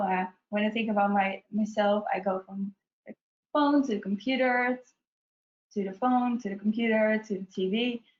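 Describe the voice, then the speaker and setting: A woman with a strong Dutch accent speaks at a moderate pace in a fairly high, somewhat breathy voice. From Netherlands. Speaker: UX researcher presenting a webinar. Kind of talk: webinar presentation. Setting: online webinar.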